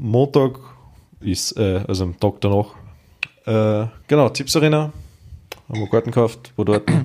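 A man's dark, mellow tone at a fairly slow pace, broken by long, frequent pauses. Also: medium pitch for a man, ordinary pitch variation. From Austria, rural village. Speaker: podcast co-host. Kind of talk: retelling fairy tales; casual chat. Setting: home dining room.

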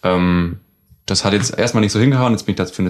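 The man's voice is very deep and low. He speaks at a very fast pace. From southern Germany, Baden-Württemberg. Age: 20s. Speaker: trained cook, flatmate. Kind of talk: casual chat. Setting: living room of a shared flat.

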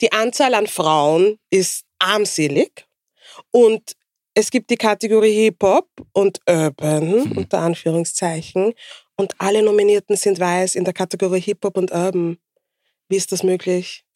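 In dry, close sound with no echo, a woman with an unremarkable speaking voice talks at a fairly slow pace and medium pitch with ordinary pitch variation. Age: 40s. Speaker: podcast co-host. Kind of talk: casual chat.

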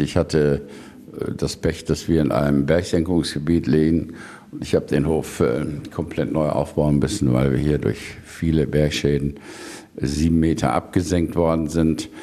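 Against noticeable background noise, a man talks in a very deep, low voice at very even loudness. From Lower Rhine, western Germany (Neukirchen-Vluyn). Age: 70s. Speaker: politician and farmer. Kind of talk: radio interview. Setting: on his farm. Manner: hesitant, many fillers.

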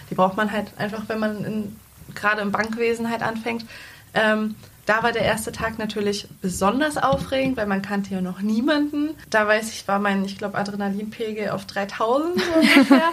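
A woman talks at a moderate pace in a fairly high, somewhat breathy voice with ordinary pitch variation. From Lower Saxony, Germany (Salzgitter). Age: 20s. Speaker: bank clerk, recently trained. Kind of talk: interview conversation.

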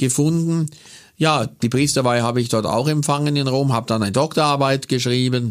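The man has an unremarkable speaking voice at a medium pitch. His intonation stays fairly even. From Bavarian Swabia, Kaufering near Lech. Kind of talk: casual interview. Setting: studio.

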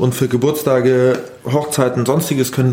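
A man's medium-pitched voice at a moderate pace amid noticeable background noise. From Bavaria, Grünwald near Munich. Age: 20s. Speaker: innkeeper. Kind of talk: casual interview. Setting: in a restaurant.

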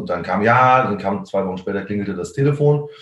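A man speaks very fast with ordinary pitch variation, his voice carrying audible room echo and noticeable background noise. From Germany, Koblenz-Westerwald region. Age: 30s. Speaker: drummer. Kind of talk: casual interview. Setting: video call.

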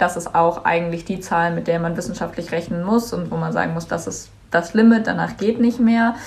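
At a fairly quick pace, a woman talks with hardly any pauses. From Germany, Cologne. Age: young. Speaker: climate activist, student. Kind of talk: interview.

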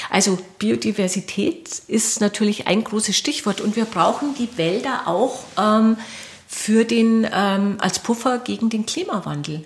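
Lively intonation from a woman speaking fairly slowly. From Lower Bavaria, Bavarian Forest (Mauth). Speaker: film director. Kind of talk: interview. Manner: hesitant, many fillers.

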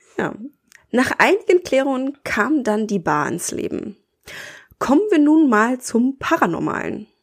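Her pitch rises and falls across a very wide range. This woman talks very slowly. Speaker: podcast host. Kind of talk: scripted narration; casual chat.

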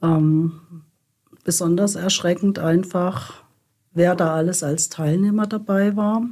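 Speech comes at a very slow pace, with a dark, mellow tone and fairly even intonation. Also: woman, fairly low pitch for a woman. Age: 70s. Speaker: activist. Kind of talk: interview.

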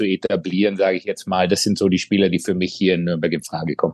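Against a quiet background, a man talks in a fairly low voice with monotone, flat intonation. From Bavaria, Germany (Kaufbeuren). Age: 40s. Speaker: ice hockey sports director, former player. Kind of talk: casual interview.

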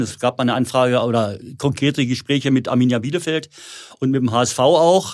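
Using a plain, everyday voice, a man talks at a fairly quick pace and a medium pitch. His pitch varies in an ordinary way. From Lower Saxony, near Hildesheim. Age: 60s. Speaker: former footballer, football school owner. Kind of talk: casual interview.

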